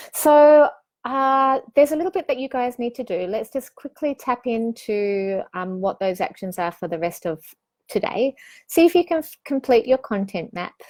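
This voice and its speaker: A high-pitched woman with very wide pitch swings, on a very clean recording with a silent background. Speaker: online business coach. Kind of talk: live-streamed course session. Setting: live stream. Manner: fast; animated.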